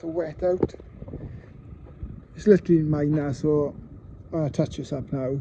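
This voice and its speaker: Mumbling at a moderate pace, a man with a Welsh accent speaks in a fairly high pitch with fairly even intonation. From Wales. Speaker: car enthusiast doing repairs. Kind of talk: casual talk to camera, repair vlog.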